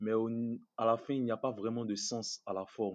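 A man speaks in a monotone, flat way at medium pitch, with a dry, close sound with no echo and a quiet background. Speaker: student and online commentator. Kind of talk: casual interview.

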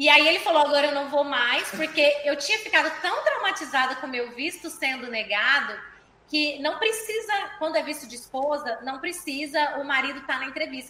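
Using a raised, projected voice, a woman speaks at a high pitch and a fairly quick pace with ordinary pitch variation. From Goiânia, Brazil. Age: 20s. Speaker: physical education teacher. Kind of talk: casual interview.

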